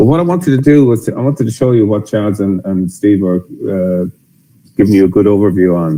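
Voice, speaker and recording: A man talks very fast with an Irish accent, his pitch fairly low and his tone dark and mellow. His intonation is lively. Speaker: software company executive. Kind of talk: webinar presentation.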